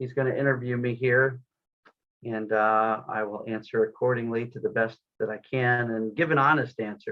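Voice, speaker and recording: A man speaks at a moderate pace in a normal speaking voice. His pitch sits in the medium range, and his intonation stays fairly even. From US, Florida. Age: 50s. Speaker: online business owner. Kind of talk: interview.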